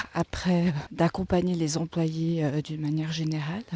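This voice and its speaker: This is a soft-spoken woman with a fairly low pitch. Her tone is dark and mellow. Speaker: vlogger. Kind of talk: vlog. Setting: outdoors, walking in a forest. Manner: hesitant, many fillers. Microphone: mic close in front.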